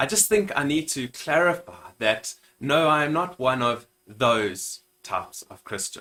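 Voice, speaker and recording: Speaking fairly slowly with a South African accent, a man uses a bright, sharp tone, a fairly high pitch and lively intonation. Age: 30s. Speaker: minister and YouTuber. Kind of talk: channel introduction vlog.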